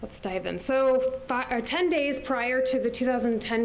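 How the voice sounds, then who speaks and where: Amid noticeable background noise and audible room echo, a woman with an American accent speaks at a moderate pace with ordinary pitch variation. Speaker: environmental advocate. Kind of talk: presentation.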